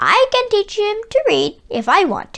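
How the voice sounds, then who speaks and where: A woman's squeaky, put-on character voice at an extremely high pitch, moderate in pace, with big swings in loudness. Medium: read story. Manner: soft-spoken, sly.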